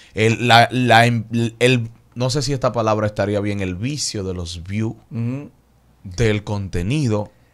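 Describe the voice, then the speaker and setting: A man with a Dominican accent speaks at a very slow pace. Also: medium pitch for a man, ordinary pitch variation. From Dominican Republic. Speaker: YouTube interviewer and radio host; YouTube interviewer, radio host. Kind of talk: interview. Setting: studio. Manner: casual. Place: studio. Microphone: studio mic.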